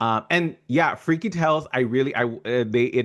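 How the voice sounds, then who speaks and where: Here a man talks at a moderate pace. His pitch is medium and his intonation lively. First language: not English. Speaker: podcast host, fellowship co-creator. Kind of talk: casual interview chat. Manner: halting, many fillers.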